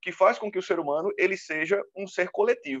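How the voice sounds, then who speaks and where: With no echo at all, the sound is dry and close. A man talks with lively intonation. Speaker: teacher. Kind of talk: lecture. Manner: fast.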